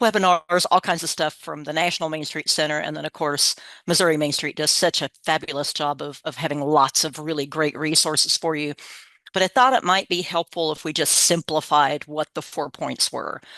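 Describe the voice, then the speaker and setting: A woman with an American accent speaks at a fairly quick pace in a bright, sharp tone, with a very deep, low pitch and fairly even intonation. The sound is dry and close with no echo, over a quiet background. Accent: slight Southern picked up over Midwestern. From Kansas, US Midwest. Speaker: state program coordinator, workshop presenter. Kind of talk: webinar presentation. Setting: online webinar. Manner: casual, conversational.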